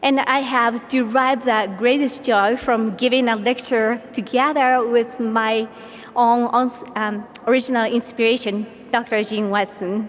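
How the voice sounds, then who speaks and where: Amid noticeable background noise, a woman with a Japanese accent speaks at a fairly slow pace and fairly high pitch, in a monotone, flat voice with very even loudness. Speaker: palliative care nurse. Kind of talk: award acceptance speech.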